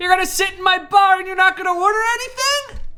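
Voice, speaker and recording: A loud, extremely high-pitched put-on character voice at a very fast pace, with music in the background. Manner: loud, indignant.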